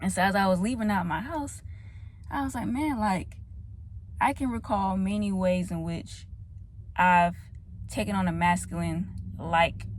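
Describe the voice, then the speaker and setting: A woman's speech has long, frequent pauses. Room echo is audible. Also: moderate pace. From US South, Atlanta. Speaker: vlogger. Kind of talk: casual vlog monologue. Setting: in a car.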